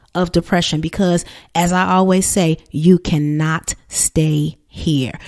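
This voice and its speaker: An American-accented woman at a very slow pace, fairly even intonation, dry, close sound with no echo. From New Jersey. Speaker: therapist and coach, podcast host. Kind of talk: motivational podcast monologue.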